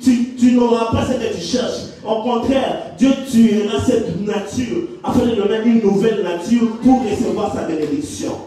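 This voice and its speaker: A man with an extremely high-pitched voice, speaking at a fairly slow pace, with audible room echo and noticeable background noise. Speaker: preacher. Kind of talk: sermon.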